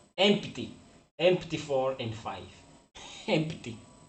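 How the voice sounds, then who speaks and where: Somewhat breathy speech with a Portuguese accent, very wide pitch swings and audible room echo. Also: man. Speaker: forex trader. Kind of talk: live stream casual chat. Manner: halting.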